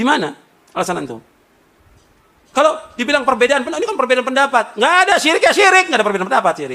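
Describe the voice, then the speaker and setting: Raised and projected, a man's extremely high voice races along at a very fast pace with an animated tone and very wide pitch swings. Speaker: Islamic preacher. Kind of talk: sermon. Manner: loud; animated, rhetorical questions.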